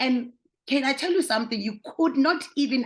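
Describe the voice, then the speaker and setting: Somewhat breathy, a woman talks at a fairly quick pace. Her pitch variation is ordinary. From South Africa. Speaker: vlogger. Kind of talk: casual commentary to camera.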